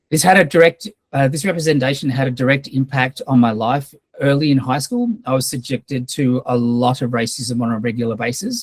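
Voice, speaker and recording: In an Australian accent, the speaker talks fairly quickly with a somewhat breathy voice and ordinary pitch variation, in a dry, close recording with no echo. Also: man, medium pitch for a man. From Australia, raised from age five; born in Fiji. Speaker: filmmaker giving a guest lecture. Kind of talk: lecture with personal testimony. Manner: hesitant, with frequent fillers.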